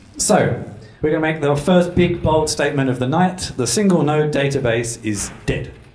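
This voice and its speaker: Noticeable background noise and audible room echo surround the voice. A man talks through it at a moderate pace. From London, England. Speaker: developer advocate. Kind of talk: tech talk. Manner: casual, with filler words.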